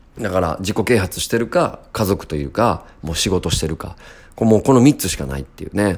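A man's plain, everyday voice, fairly low in pitch, with lively intonation and a fairly quick pace. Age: 30s. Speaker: music producer and podcaster. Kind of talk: casual solo monologue.

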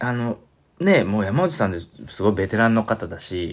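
A man with a Kansai accent. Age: 40s. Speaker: saxophone player. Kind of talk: casual monologue.

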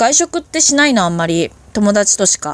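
A woman at a medium pitch speaks with very wide pitch swings. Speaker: solo podcaster. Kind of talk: casual monologue. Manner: self-deprecating, deferential tone; casual, chatty with fillers.

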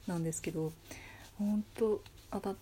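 A soft-spoken woman talks at a moderate pace with a medium pitch and ordinary pitch variation. Her voice is somewhat breathy, with a dark, mellow tone. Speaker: solo podcaster. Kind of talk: casual monologue. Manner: quiet, low energy at night.

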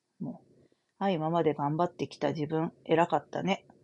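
A woman with a very deep, low pitch and ordinary pitch variation against a quiet background. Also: dry, close sound with no echo. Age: 40s. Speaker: astrologer and fortune teller. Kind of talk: solo talk show monologue. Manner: casual with many filler words.

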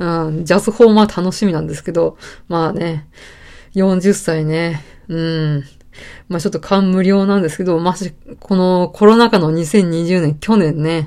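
In a very clean recording with a silent background, a woman speaks in a plain, everyday voice. Her pitch is fairly low, with fairly even intonation at a moderate pace. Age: 30s. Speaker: podcaster, office worker. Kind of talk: casual solo talk. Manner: relaxed, many fillers.

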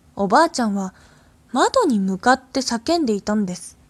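On a very clean recording with a silent background, a voice in a calm tone moves at a moderate pace with very wide pitch swings, sounding dry and close with no echo. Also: woman. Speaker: radio host reading ghost stories. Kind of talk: horror story reading aloud. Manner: calm, hushed storyteller pace, building dread; slightly halting, with fillers and small stumbles.

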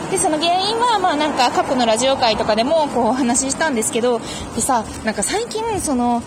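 A woman speaks quite briskly in a high voice, her intonation lively, while clear background noise sits behind her. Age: 20s. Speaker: podcast host. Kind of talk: casual monologue answering listener mail. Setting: outdoors, walking to a station in light rain.

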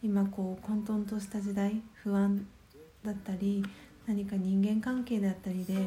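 This woman has a dark, mellow tone and a medium pitch, with a somewhat breathy quality. She talks at a fairly slow pace in a monotone, flat intonation. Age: 30s. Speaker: podcast host and meditation guide. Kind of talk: guided meditation; solo morning radio talk. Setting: home.

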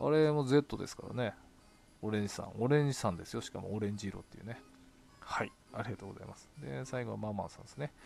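Speaking at a very fast pace, a man with a fairly low pitch shows big swings in loudness. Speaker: solo podcaster reading blog comments. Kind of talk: casual solo talk, reading and answering comments. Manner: frequent laughter.

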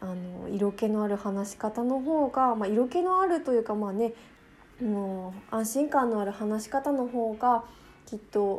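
Fairly high female voice, its pitch moving in an ordinary way. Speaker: podcast host. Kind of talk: casual monologue. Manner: fast talker.

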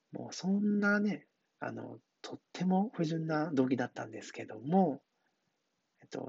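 This man's voice sits fairly high and sounds somewhat breathy. His tone is relaxed and his pace moderate. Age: 40s. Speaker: hairdresser. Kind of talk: casual monologue. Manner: relaxed, filler-heavy.

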